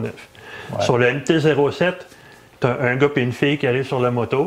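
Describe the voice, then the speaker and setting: A man with a Quebec accent talks at a fairly slow pace and medium pitch, with ordinary pitch variation over noticeable background noise. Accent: Québécois French. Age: 50s. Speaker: motorcycle podcast co-host. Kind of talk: casual chat. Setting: studio.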